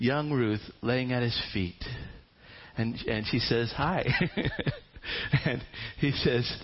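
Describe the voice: The reading is plain and unembellished, and its pitch varies by ordinary amounts.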